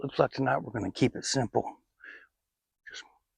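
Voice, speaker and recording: A man talks with a Southern US accent in a somewhat breathy voice. The sound is dry and close, with no echo. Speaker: outdoors vlogger. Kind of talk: casual vlog narration. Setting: outdoors.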